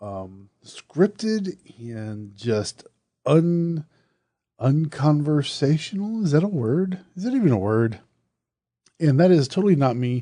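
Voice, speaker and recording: A man with an American accent speaks at a very slow pace in a dark, mellow tone and a fairly high pitch, with very wide pitch swings, big swings in loudness and long, frequent pauses. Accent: Southern US, usually hidden when recording. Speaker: horror podcast host. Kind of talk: casual podcast monologue. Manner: conversational, with fillers and restarts.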